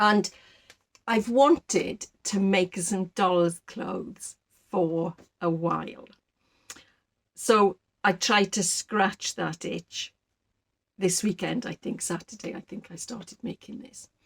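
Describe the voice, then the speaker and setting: Speaking very slowly with long, frequent pauses, a woman with a South Welsh accent uses a somewhat breathy voice at medium pitch, recorded dry and close with no echo. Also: ordinary pitch variation. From Wales, Rhondda valley. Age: 60s. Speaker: sewing and knitting vlogger. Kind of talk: casual chat.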